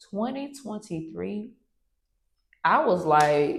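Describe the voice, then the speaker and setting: A woman's voice with vocal fry and very wide pitch swings. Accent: American. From US South, Atlanta, Georgia. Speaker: entrepreneur, coffee company CEO. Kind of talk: interview, casual chat.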